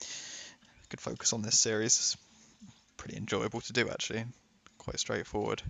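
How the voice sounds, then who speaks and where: A man with a British accent talks at a moderate pace, with big swings in loudness and long, frequent pauses. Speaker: gaming YouTuber. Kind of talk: casual gameplay commentary.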